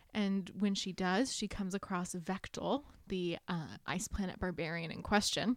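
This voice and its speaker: A plain, everyday voice at a moderate pace, with ordinary pitch variation and dry, close sound with no echo in a very clean recording with a silent background. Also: woman, medium pitch for a woman. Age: 20s. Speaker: book podcast co-host. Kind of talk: casual chat.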